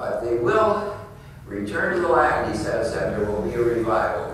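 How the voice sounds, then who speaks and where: Over light background noise, a man talks at a moderate pace. Strong room echo surrounds his voice. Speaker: preacher teaching Bible prophecy. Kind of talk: sermon. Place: church.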